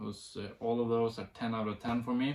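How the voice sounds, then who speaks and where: Medium in pitch, a man speaks with a Norwegian accent. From Norway. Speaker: music reviewer. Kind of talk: casual video review. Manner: halting, many fillers.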